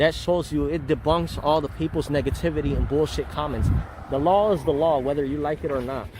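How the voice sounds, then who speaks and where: Noticeable background noise sits behind a man with a fairly high pitch. He speaks fairly quickly with fairly even intonation. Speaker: First Amendment auditor. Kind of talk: casual vlog talk to camera. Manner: soft-spoken.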